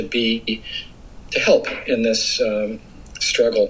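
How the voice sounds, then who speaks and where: Noticeable background noise sits behind a man speaking with a Californian accent. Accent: American (California). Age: 60s. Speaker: environmental advocate. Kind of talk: interview. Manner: hesitant with fillers.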